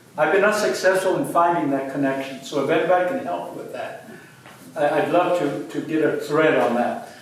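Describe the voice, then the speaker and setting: There is audible room echo and noticeable background noise as a man talks at a fairly quick pace. His fairly high voice has lively intonation. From Mexico (Hidalgo). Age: 70s. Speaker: museum curator. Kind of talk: lecture Q&A with audience. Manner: halting, with repetitions.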